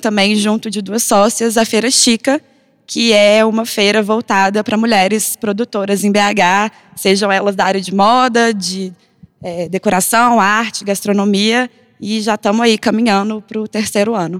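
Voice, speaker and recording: Fairly high-pitched woman's voice, flat and monotone at a moderate pace, dry and close with no echo. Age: 20s. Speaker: designer and content producer. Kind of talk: panel discussion.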